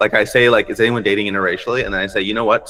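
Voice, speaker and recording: In an American accent, a man speaks at a fairly low pitch with fairly even intonation. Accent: American accent, noticeable in India. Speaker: stand-up comedian. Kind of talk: casual chat.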